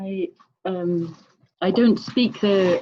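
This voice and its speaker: With an English accent, a woman speaks using lively intonation. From Scotland. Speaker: online summit participant. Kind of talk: group sharing circle.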